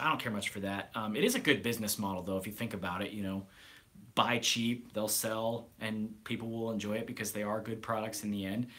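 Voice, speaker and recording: Speaking with an American accent, a man uses fairly even intonation at a fairly low pitch, his tone bright and sharp. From US Midwest, Nebraska. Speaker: grooming product reviewer. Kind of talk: live stream Q&A. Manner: fairly fast, calm; occasional stammering.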